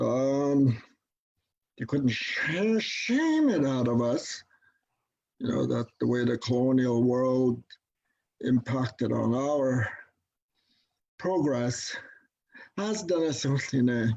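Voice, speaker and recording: Speech moves at a very slow pace with long, frequent pauses. Pitch variation is ordinary. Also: man, medium pitch for a man. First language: Dene. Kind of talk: conference talk. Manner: halting, many fillers.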